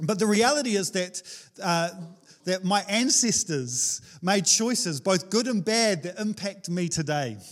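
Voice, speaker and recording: In a New Zealand accent, a man speaks fairly slowly, his high pitch moving with lively intonation. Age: 30s. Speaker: pastor. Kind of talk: sermon. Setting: church.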